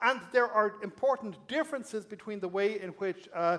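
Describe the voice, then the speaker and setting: A man speaks with a high pitch. He has a slight Irish accent. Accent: Irish brogue, slight. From Ireland. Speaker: academic speaker. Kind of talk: public lecture.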